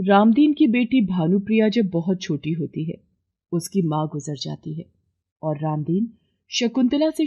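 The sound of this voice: A woman speaks at a fairly slow pace in a dark, mellow tone with a slightly husky edge. Her intonation is lively.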